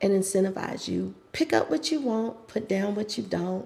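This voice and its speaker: Speaking at a fairly slow pace, a woman with medium pitch has a dark, mellow tone and vocal fry. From US South, North Carolina. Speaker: pilates instructor. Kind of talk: interview conversation.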